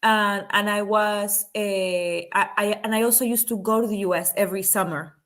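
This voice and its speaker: A woman with a Spanish accent and a medium pitch speaks at a moderate pace with fairly even intonation and hardly any pauses. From Panama. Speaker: film producer and activist. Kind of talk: interview. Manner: halting, many fillers and restarts.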